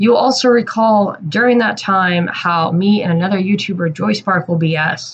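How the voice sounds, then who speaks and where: A woman's somewhat breathy voice keeps a moderate pace. She barely pauses at all. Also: medium pitch for a woman, ordinary pitch variation. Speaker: YouTube commentator. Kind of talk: commentary monologue.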